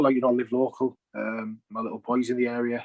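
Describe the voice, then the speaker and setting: Flat and monotone, a man with a strong Teesside accent talks at a fairly quick pace in a medium pitch, the sound dry and close with no echo. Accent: Teesside, still strong. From northern England, Teesside (Stockton). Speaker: football player-coach. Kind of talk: interview.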